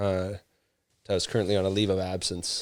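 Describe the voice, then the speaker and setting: A man with a Canadian accent talks at a very fast pace in a very clean recording with a silent background. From Canada (Ontario). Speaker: former police officer and firefighter, runner. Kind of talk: podcast interview.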